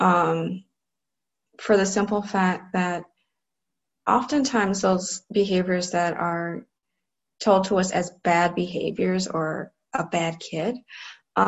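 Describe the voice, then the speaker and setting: A woman's medium-pitched voice with fairly even intonation and long, frequent pauses. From US Midwest, Cleveland, Ohio. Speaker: clinical psychologist. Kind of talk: online training lecture.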